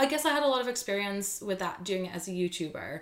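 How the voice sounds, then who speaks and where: A woman talks at a moderate pace. Her voice sits at a medium pitch. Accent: Dutch. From Netherlands. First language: Dutch. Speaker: YouTuber and freelance content creator. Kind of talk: interview conversation.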